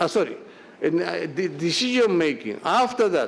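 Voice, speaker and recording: A man's lively intonation amid audible room echo. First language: Japanese. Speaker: quality management expert speaker. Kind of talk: lecture. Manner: halting, many fillers and restarts.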